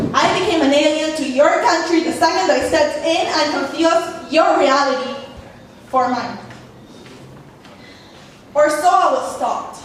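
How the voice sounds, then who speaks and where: Against noticeable background noise, a woman with a Spanish accent speaks at a moderate pace in an extremely high pitch. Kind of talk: spoken word poetry performance.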